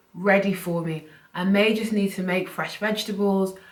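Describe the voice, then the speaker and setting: A woman's medium-pitched voice at a moderate pace, with monotone, flat intonation and audible room echo. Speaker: personal finance YouTuber. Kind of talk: casual vlog talk to camera. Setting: at home, filming to camera.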